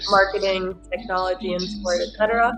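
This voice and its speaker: Noticeable background noise accompanies a woman at a medium pitch. She speaks at a moderate pace with a monotone, flat intonation. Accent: American. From US Midwest. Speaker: sports business professional. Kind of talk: interview.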